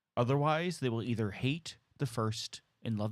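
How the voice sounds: In a natural reading voice with ordinary pitch variation, the speaker reads against a quiet background.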